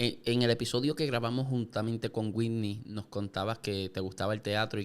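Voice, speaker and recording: A plain, everyday voice speaks at a fairly quick pace with fairly even intonation on a very clean recording with a silent background. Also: man. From Puerto Rico, Yauco. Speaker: podcast host. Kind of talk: interview. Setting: studio.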